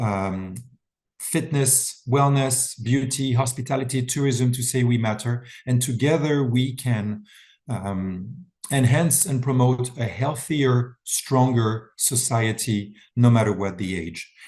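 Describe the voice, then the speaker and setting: A man speaks very slowly in a French accent. His voice is somewhat breathy. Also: medium pitch for a man, ordinary pitch variation. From France. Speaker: wellness event founder. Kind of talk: webinar presentation. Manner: talkative.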